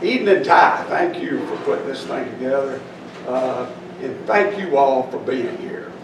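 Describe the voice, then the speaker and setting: Audible room echo with noticeable background noise. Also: man. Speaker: speaker. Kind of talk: reflective talk to audience. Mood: humorous, self-deprecating. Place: hall. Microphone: podium.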